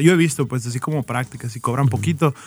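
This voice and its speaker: Speaking at a very fast clip, this man's voice is fairly high in pitch. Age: 30s. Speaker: marketing freelancer and advertising consultant. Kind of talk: casual chat. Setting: studio.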